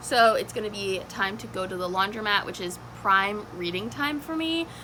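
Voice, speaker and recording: A woman at medium pitch with very wide pitch swings, over noticeable background noise. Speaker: booktuber. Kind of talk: casual vlog chat. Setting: at home. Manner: fast.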